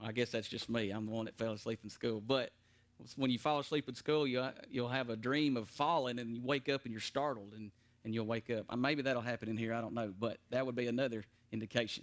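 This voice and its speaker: A man at medium pitch, very fast, with fairly even intonation. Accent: Tennessee. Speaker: preacher teaching Bible class. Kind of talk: Bible study teaching. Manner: gets loud at times when preaching; hesitant with fillers and repeats.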